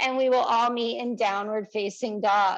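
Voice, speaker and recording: A woman speaks loudly against a quiet background. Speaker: yoga teacher. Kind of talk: guided yoga class.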